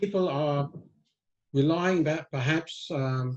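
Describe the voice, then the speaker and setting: A man's fairly high, somewhat breathy voice with an American accent and fairly even intonation. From England. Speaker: risk management author and consultant. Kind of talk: interview. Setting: video call. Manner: halting, many fillers and repeats.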